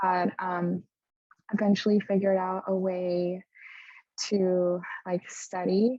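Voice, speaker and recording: Speaking very slowly, a woman with a Spanish accent keeps to a medium pitch. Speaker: medical student. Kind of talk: panel discussion.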